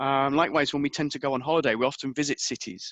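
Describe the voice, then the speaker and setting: Against a quiet background with a dry, close sound with no echo, a man with an English accent talks at a very fast pace in a fairly high, bright, sharp voice. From England. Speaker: history professor. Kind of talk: lecture. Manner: hesitant, with fillers.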